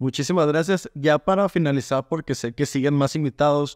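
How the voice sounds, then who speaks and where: With a quiet background, a plain, everyday voice moves at a moderate pace with ordinary pitch variation. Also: man. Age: 20s. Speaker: real estate business owner; podcast guest. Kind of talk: audience Q&A conversation. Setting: video call. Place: home room. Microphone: video call.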